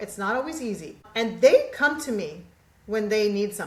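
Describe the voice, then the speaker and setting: In a room with audible echo and noticeable background noise, a woman with a fairly high voice speaks at a fairly quick pace, animated and with lively intonation. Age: 60s. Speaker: podcast guest, mindset coach. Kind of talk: casual chat.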